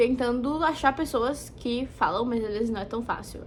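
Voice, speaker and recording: Noticeable background noise around a female speaker, her pitch varying in an ordinary way. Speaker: vlogger. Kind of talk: casual talk to camera.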